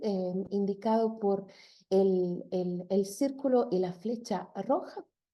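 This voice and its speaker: A woman's dark, mellow tone at a very slow pace, with ordinary pitch variation. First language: not Spanish (speaking Spanish). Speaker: linguist. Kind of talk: lecture. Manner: halting, many fillers.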